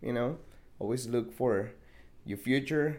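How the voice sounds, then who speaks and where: A man's dark, mellow voice at medium pitch with a Spanish accent, fairly slow, with ordinary pitch variation and vocal fry. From Mexico. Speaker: podcast guest. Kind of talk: casual chat.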